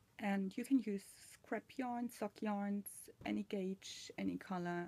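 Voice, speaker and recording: Somewhat breathy delivery in a dark, mellow tone, at a fairly slow pace with ordinary pitch variation. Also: woman. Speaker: machine knitting tutor. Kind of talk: tutorial. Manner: hesitant, many fillers.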